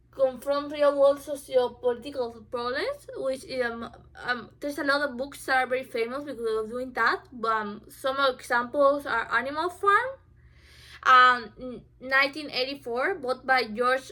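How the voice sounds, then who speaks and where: Speaking at a fairly slow pace with a non-native accent, a woman uses a raised, projected voice that is high-pitched and bright and sharp in tone, with ordinary pitch variation. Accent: obvious non-native. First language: not English. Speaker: student. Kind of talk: informative speech. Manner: halting, many fillers.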